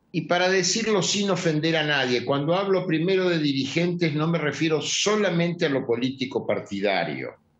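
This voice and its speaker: A man's high voice with ordinary pitch variation, very even loudness and hardly any pauses. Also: moderate pace. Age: 70s. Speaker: journalist and political analyst. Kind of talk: interview.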